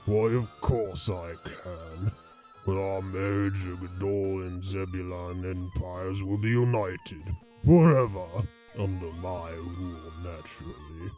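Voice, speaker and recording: Over clear background music, a man uses a put-on character voice with a very deep, low pitch at a fairly slow pace. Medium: audio drama. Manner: smug, condescending.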